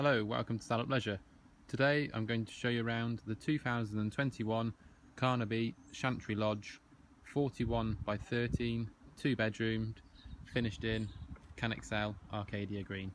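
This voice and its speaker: Against a quiet background, a man at medium pitch talks at a fairly slow pace with fairly even intonation and an unremarkable speaking voice. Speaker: holiday home sales presenter. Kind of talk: property tour guide walkthrough. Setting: inside a static caravan lodge on site.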